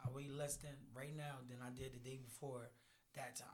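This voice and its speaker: A man speaks at a moderate pace in an ordinary speaking voice, his pitch fairly high. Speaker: boxer. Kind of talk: casual banter.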